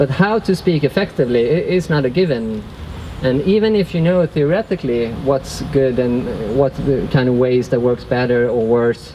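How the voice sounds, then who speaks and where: Over noticeable background noise, a man with a non-native accent speaks at very even loudness. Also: medium pitch for a man, lively intonation, moderate pace. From Sweden. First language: Swedish. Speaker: workshop facilitator. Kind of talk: workshop talk. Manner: halting.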